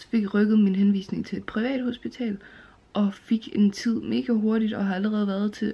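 Here a woman talks at a moderate pace with ordinary pitch variation. Her loudness swings widely. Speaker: vlogger. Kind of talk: casual vlog chat. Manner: drowsy, low-energy talk lying down. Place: home room. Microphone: phone near.

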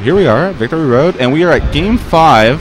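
A man's fairly high-pitched voice with very wide pitch swings, a dry sound with no echo, and noticeable background noise. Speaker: tournament commentator. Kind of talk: commentary. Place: shop.

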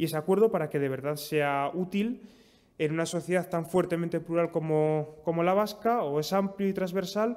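A man speaks at a moderate pace in a fairly high, slightly mellow voice. His pitch variation is ordinary.

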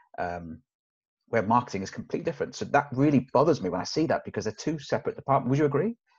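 A man speaks very fast with vocal fry, his pitch fairly high for a man and swinging very widely. The background is quiet. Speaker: sales trainer. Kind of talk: casual interview chat. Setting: video call. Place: meeting room. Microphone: webcam.

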